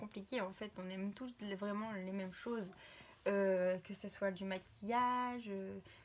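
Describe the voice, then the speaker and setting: Speaking very slowly at a medium pitch with ordinary pitch variation, a woman is heard over noticeable background noise. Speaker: vlogger. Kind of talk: casual vlog. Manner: hesitant, many fillers.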